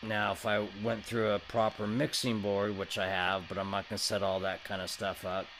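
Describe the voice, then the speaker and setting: With music in the background, a man talks at a moderate pace with hardly any pauses, his fairly low voice flat and monotone. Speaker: guitar amp demonstrator. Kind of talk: product demo. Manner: loud.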